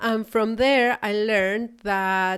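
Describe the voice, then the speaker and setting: Very slowly, a woman speaks at a medium pitch with ordinary pitch variation. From Chile. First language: Spanish. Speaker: podcast host and spiritual business coach. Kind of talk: solo podcast talk. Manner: hesitant, with fillers and repetitions.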